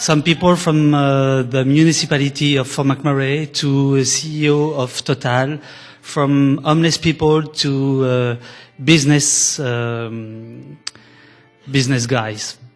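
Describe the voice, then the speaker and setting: With a French accent, a man talks at a very slow pace and fairly even intonation over noticeable background noise. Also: fairly high pitch for a man. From France. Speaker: documentary filmmaker. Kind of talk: conference presentation. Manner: halting.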